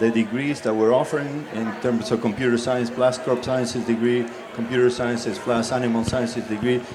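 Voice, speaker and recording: Moderate-paced speech in an American accent, with noticeable background noise and audible room echo. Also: man. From US South. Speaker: college dean. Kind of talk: panel discussion.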